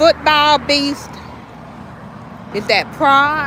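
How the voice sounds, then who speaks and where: Over noticeable background noise, a woman with a high voice and a Southern US accent speaks at a very slow pace in a raised, projected voice. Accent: country Southern. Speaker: small business owner livestreaming sales. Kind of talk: casual livestream chat. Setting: outdoors at a sales stand.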